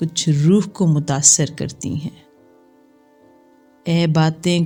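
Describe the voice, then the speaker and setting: Music plays in the background. A woman with a fairly low pitch speaks with fairly even intonation. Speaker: poet. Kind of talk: poetry reading.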